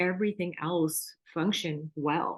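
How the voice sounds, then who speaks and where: At a fairly slow pace, a woman with an American accent talks at a medium pitch with ordinary pitch variation. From US West Coast, Orange County, Southern California. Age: 60s. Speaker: sign language interpreter, yoga student. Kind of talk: testimony. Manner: casual, hesitant with fillers.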